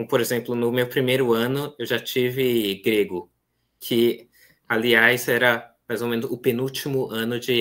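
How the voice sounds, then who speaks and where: Against a quiet background, a man talks at a fairly slow pace with fairly even intonation and a medium pitch. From Brazil, São Paulo city (east zone); São Paulo, Brazil. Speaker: seminarian; guest. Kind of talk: interview conversation. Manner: hesitant, many fillers. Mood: calm, earnest. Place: home room.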